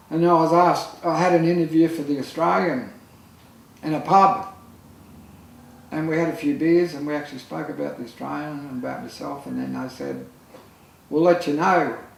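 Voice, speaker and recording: A man with a fairly high pitch and ordinary pitch variation talks at a moderate pace, leaving long, frequent pauses. His loudness swings widely, and there is audible room echo plus noticeable background noise. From Australia, Lismore, New South Wales. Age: 60s. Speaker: photographer. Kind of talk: casual chat. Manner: halting.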